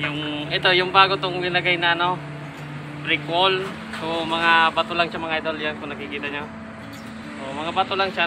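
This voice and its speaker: A man talks at a fairly quick pace with a high pitch and fairly even intonation. Noticeable background noise is present. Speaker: fishing vlogger. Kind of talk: casual vlog chat. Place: waterside. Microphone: phone near.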